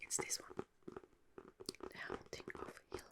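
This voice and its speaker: The speaker is whispering at a very slow pace. Noticeable background noise is present. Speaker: ASMR creator. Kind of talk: casual talk to camera. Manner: whispered.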